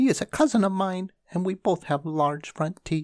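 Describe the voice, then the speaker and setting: At a moderate pace, a squeaky put-on character voice at middle pitch comes through a very clean recording with a silent background. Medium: read story. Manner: quick, chatty.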